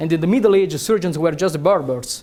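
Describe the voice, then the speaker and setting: The speaker goes at a fairly quick pace. The voice carries an Italian accent. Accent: Italian accent, noticeable. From Italy. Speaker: neurosurgeon and researcher. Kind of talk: lecture. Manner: hesitant, many fillers.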